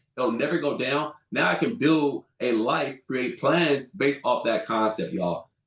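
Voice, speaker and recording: Hardly pausing, a man with an American accent talks in an animated tone at a fairly high pitch, using very wide pitch swings, vocal fry and very even loudness. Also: fairly slow pace. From Southern California. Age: 30s. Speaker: insurance agent and business mentor. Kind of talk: sales pitch. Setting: video call from home office.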